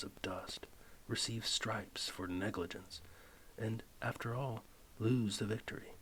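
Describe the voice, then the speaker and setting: Soft-spoken and calm in tone, the speaker moves at a fairly slow pace. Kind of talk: philosophy text reading, audiobook-style ASMR. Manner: soft-spoken, calm.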